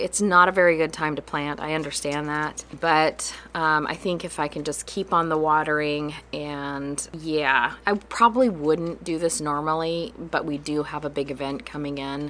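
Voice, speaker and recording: A woman talks at a moderate pace with hardly any pauses. Her pitch is very deep and low, with ordinary variation. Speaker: farm host. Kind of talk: casual vlog chat. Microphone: phone near.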